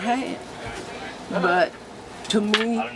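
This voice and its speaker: A woman speaks over noticeable background noise. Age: 70s. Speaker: homeowner receiving repairs. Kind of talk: interview testimony. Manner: halting.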